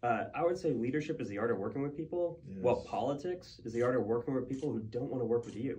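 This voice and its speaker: Over noticeable background noise, a man with an American accent speaks at a very fast pace with hardly any pauses, in a medium pitch with ordinary pitch variation. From New Hampshire, US Northeast. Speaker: mayor. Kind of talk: interview.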